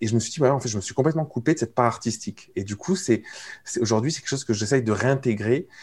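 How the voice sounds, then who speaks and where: A plain, everyday voice: a man at medium pitch with ordinary pitch variation, on a very clean recording with a silent background. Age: 30s. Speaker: entrepreneur coach and podcaster. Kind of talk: casual interview conversation.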